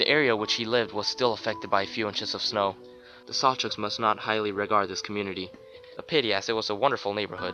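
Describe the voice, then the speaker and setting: A man talks at a very fast pace with a medium pitch. Music plays in the background. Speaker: creepypasta narrator. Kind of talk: horror story narration.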